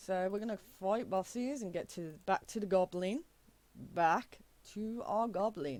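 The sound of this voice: The voice reads in an unforced way. Its pitch varies an ordinary amount.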